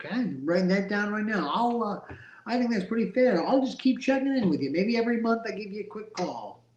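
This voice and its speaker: A man speaks at a fairly quick pace with a high pitch. His pitch variation is ordinary. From Rhode Island. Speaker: real estate wholesaler. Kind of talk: cold call to seller; livestream commentary. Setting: phone call.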